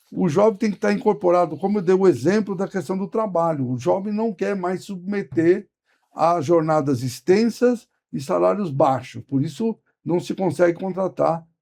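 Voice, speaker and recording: With a dark, mellow tone, a man talks at a moderate pace in a high voice and lively intonation. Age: 70s. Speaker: trade union leader. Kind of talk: interview.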